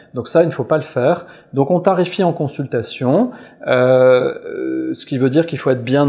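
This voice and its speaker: A fairly high-pitched man speaks with ordinary pitch variation. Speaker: physician giving a clinical talk. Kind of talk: webinar lecture. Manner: fast; hesitant, frequent euh fillers.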